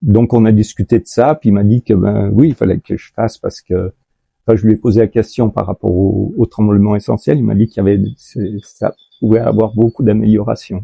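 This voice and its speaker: A man speaks at a moderate pace in a fairly low, somewhat breathy voice. His intonation stays fairly even. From France. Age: 70s. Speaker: patient, shiatsu practitioner. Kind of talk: testimony interview. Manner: halting, many hesitations.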